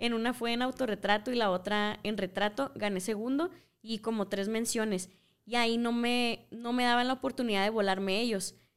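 Using an ordinary speaking voice, a woman talks at a moderate pace with a fairly high pitch and fairly even intonation on a very clean recording with a silent background. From Mexico, Culiacán, Sinaloa. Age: 20s. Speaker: visual artist and photographer. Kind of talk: casual interview chat.

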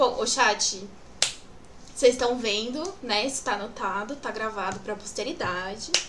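A woman with a fairly high pitch and ordinary pitch variation speaks at a fairly slow pace. Audible room echo and noticeable background noise come through. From São Paulo, Brazil. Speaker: podcast moderator, marketing staff. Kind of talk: live panel discussion.

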